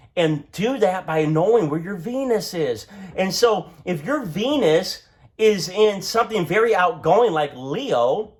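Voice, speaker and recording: A loud, animated man's voice leaps through very wide pitch swings. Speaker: astrologer. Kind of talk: tutorial.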